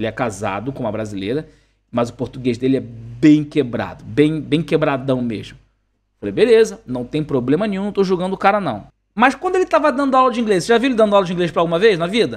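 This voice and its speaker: Talking very fast with an animated tone, a man uses a fairly high pitch and very wide pitch swings. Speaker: English teacher and coach. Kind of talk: online class.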